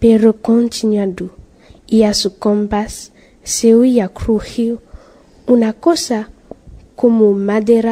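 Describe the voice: Text read aloud, plain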